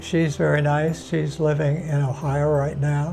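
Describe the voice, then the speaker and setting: Music plays in the background while a man with a fairly high pitch talks at a fairly slow pace. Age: 80s+. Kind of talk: interview answer. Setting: interview location. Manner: soft-spoken, calm.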